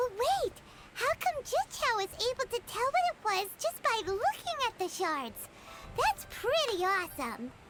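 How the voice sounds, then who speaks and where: An extremely high-pitched, energetic put-on character voice talks at a moderate pace over loud background noise. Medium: video game. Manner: energetic, inquisitive.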